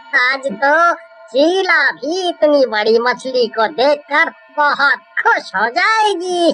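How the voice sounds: A cartoonish character voice moves at a very slow pace.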